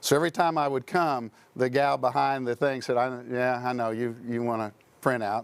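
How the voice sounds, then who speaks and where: An ordinary speaking voice at a moderate pace, fairly even in intonation, in a very clean recording with a silent background. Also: man, medium pitch for a man. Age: 60s. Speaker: entrepreneur and insurance professional. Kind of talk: casual interview storytelling.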